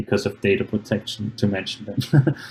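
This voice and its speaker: A man's fairly low, somewhat breathy voice. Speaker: programming workshop presenter. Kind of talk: online seminar presentation.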